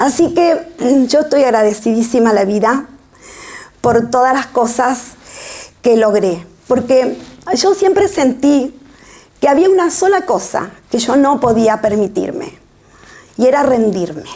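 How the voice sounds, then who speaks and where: Over noticeable background noise, a woman speaks at a fairly slow pace with a high pitch, very wide pitch swings, very even loudness and long, frequent pauses. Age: 60s. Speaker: author. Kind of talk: book presentation talk. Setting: public event with audience.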